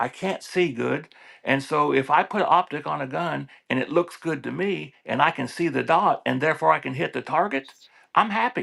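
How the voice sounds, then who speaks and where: Fairly high-pitched male voice with vocal fry, a bright, sharp tone, ordinary pitch variation and a moderate pace. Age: 60s. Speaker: gun enthusiast. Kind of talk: casual chat.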